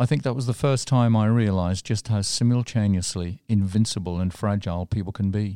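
A man's fairly quick speech with hardly any pauses, fairly low in pitch with ordinary pitch variation and a dark, mellow tone, in a very clean recording with a silent background and a dry, close sound with no echo. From west coast of England. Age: 60s. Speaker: radio commentator. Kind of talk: scripted narration.

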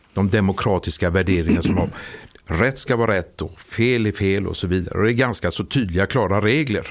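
An unremarkable speaking voice from a man, fairly low in pitch with ordinary variation, at a fairly quick pace. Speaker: police officer. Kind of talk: interview.

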